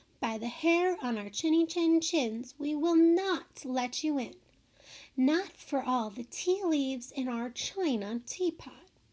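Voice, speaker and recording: Using a put-on character voice, a woman speaks at a high pitch and a fairly slow pace with lively intonation. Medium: read story. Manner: trembling but defiant.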